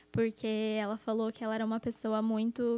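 A high-pitched woman's voice, dry and close with no echo, on a very clean recording with a silent background. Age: 20s. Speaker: English teacher and master's student. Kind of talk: casual chat.

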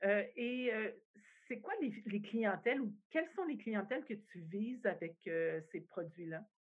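A woman speaks very slowly, her intonation lively. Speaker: industry association CEO, podcast host. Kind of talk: interview.

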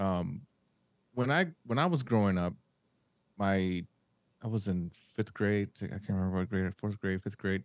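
A man speaks at a moderate pace and fairly low pitch with ordinary pitch variation, the sound dry and close with no echo against a quiet background. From Mexico. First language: Spanish. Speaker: podcast host. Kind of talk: casual chat.

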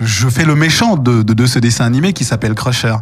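Noticeable background noise sits behind a man at a medium pitch. He talks at a moderate pace with ordinary pitch variation. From Paris, France. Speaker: voice actor and stage performer. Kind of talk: interview.

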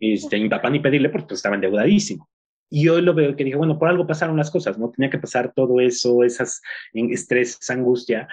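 A man's medium-pitched voice at a very fast pace. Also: lively intonation. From Mexico. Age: 30s. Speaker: business coach and entrepreneur. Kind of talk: interview. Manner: halting, many fillers.

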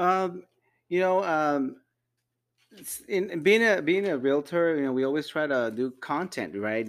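Moving through very wide pitch swings, a man speaks at a fairly slow pace. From Mexico, raised in Las Vegas. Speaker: podcast co-host, realtor, army veteran. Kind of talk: casual chat.

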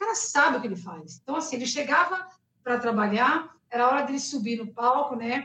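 A woman with a high pitch uses a raised, projected voice at a fairly quick pace. Her pitch swings very widely and her loudness swings a lot. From Rio de Janeiro, Brazil. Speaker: singer. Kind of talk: interview. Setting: live stream.

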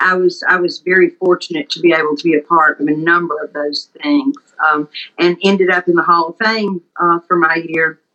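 Speaking with a Mississippi accent, a woman uses a fairly low pitch with ordinary variation at a moderate pace. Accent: Mississippi Southern. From US South, Mississippi Delta. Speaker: pharmacist. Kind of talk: casual chat.

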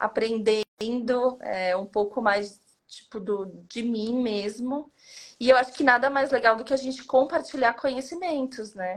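Moving at a fairly slow pace, a woman speaks in a high pitch with ordinary pitch variation. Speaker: hotel management consultant. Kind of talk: casual interview.

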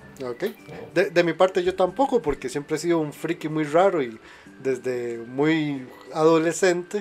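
A man with a fairly high pitch talks in an animated tone with lively intonation at a fairly slow pace, over noticeable background noise. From Costa Rica. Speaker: podcast host. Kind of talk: casual chat.

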